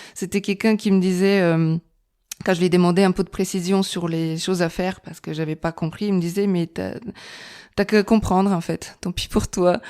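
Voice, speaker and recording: Fairly low in pitch, a woman with a Bulgarian accent speaks at a moderate pace with ordinary pitch variation, on a very clean recording with a silent background. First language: Bulgarian (speaking French). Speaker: architect. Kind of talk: podcast interview. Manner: hesitant, many fillers.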